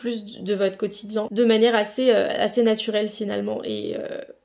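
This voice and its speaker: A woman with a medium pitch talks at a moderate pace over noticeable background noise. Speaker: lifestyle vlogger. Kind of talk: casual vlog talk to camera. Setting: at home. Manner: spontaneous with many hesitations.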